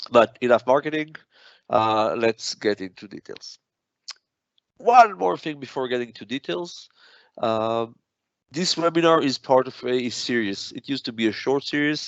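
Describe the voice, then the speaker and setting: A man at medium pitch with a non-native accent, lively intonation, big swings in loudness, a moderate pace and long, frequent pauses. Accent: noticeable foreign. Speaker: product manager. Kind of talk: technical webinar presentation. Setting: online webinar. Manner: frequent filler hesitations.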